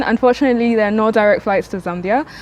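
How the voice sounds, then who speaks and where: A woman at a fairly high pitch and a fairly quick pace, with fairly even intonation, over noticeable background noise. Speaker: travel vlogger. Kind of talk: casual vlog talk to camera. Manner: fast.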